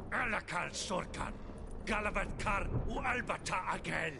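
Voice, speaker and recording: A man puts on a character voice with a high pitch. He keeps a moderate pace over loud background noise. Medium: video game. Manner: curt, commanding.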